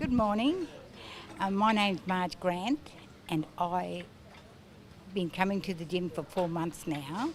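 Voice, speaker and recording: A woman with an Australian accent speaks at medium pitch with ordinary pitch variation. Her pace is fairly slow, with long, frequent pauses. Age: 70s. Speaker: gym client. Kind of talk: testimony.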